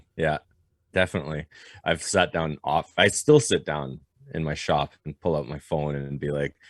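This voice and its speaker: Speaking with a French Canadian accent, this voice has vocal fry and fairly even intonation, set against a quiet background. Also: man, very deep, low pitch for a man, moderate pace, dry, close sound with no echo. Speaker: blacksmith and knife maker. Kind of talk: podcast interview. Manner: halting.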